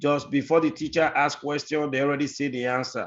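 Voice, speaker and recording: A man with a strong non-native accent speaks with fairly even intonation. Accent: very deep foreign. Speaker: guest speaker giving career tips to students. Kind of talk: advice talk in online class.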